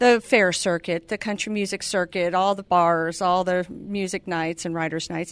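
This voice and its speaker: An unremarkable speaking voice with an American accent, moderate pace, fairly even intonation and hardly any pauses, dry and close with no echo over a quiet background. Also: woman, medium pitch for a woman. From California. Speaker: entrepreneur and author. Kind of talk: radio interview. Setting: radio studio.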